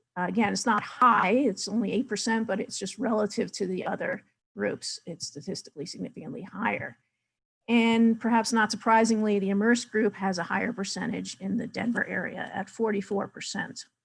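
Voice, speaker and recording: Her voice carries vocal fry as this woman speaks with fairly even intonation at a fairly high pitch. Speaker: data presenter. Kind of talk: webinar presentation.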